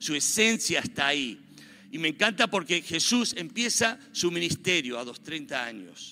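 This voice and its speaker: A man's high-pitched voice moves at a fairly slow pace, swinging very widely in pitch. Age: 50s. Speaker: pastor. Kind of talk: sermon.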